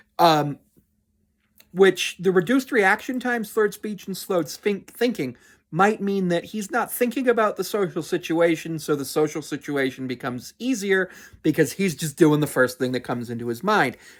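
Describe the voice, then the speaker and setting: Set against a silent background in a very clean recording, the words come at a moderate pace. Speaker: YouTube commentator. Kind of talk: commentary monologue.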